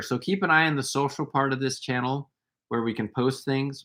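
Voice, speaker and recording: This man has an unremarkable speaking voice at a medium pitch, with an American accent. He talks at a fairly quick pace. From USA. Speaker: wellness workshop co-host. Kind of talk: casual live stream chat.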